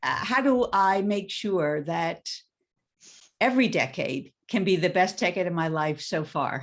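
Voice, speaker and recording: In a plain, everyday voice, a woman speaks at a fairly slow pace with a medium pitch and lively intonation. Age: 60s. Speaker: coach. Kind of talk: webinar introduction.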